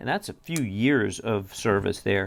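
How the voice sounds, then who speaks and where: A man speaks at a moderate pace with a Southern US accent. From US South. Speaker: knife reviewer. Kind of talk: product review. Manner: casual, conversational.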